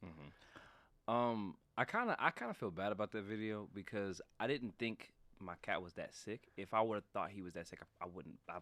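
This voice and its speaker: Heard on a very clean recording with a silent background, this voice has an American accent and a bright, sharp tone. It moves at a moderate pace with ordinary pitch variation and big swings in loudness. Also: man. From northern Ohio. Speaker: musician and content creator. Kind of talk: casual interview chat. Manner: halting, many fillers.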